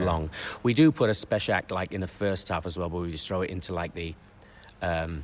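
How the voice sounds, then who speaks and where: The man's voice is very deep and low, with ordinary pitch variation. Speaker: circus clown and panto performer. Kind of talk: radio interview answer, talking about panto writing.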